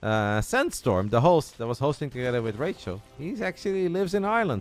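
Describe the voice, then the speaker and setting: Over music in the background, a man with a Dutch accent talks at a very fast pace, his pitch swinging very widely. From Netherlands. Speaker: esports commentator. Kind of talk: live commentary; casual chat.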